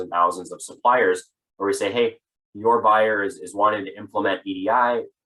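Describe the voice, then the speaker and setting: A man's voice has a bright, sharp tone and fairly even intonation. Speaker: sales manager presenting a business webinar. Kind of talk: webinar presentation. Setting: online webinar. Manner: fast.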